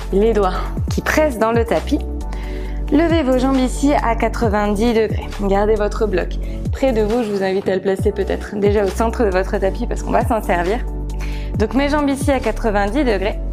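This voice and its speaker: With clear music in the background, a woman talks at a moderate pace, leaving long, frequent pauses. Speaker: yoga instructor. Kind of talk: guided yoga class instruction.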